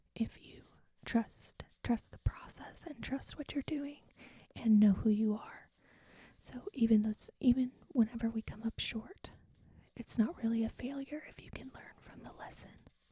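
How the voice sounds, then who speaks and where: Soft-spoken and whispering, the speaker goes at a fairly slow pace. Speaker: teacher. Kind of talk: ASMR rambling. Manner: whispered, soft-spoken.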